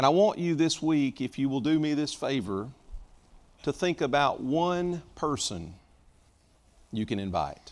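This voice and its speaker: Fairly slow pace with long, frequent pauses. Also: man. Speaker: preacher. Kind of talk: sermon. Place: church.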